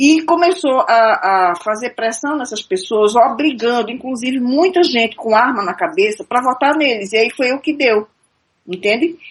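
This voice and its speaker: Pitched high, a woman speaks with lively intonation. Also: moderate pace. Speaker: radio caller commenting on politics. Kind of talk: live radio call-in discussion.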